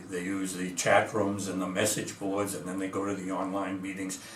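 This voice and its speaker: A man's fairly low voice, with audible room echo and noticeable background noise. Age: 80s+. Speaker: physician and recovery program founder. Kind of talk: interview monologue. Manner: hesitant, frequent fillers.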